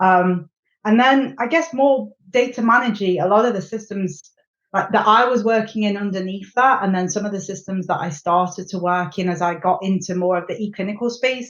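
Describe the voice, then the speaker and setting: Fairly quick and at medium pitch, a woman with a British accent talks with ordinary pitch variation. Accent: English (UK). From England, Nottingham (East Midlands). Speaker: clinical software strategy executive. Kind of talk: podcast interview. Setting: podcast recording.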